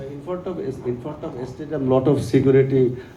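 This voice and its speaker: A man's medium-pitched voice carries audible room echo along with noticeable background noise. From Bangladesh. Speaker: journalist. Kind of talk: press conference questions.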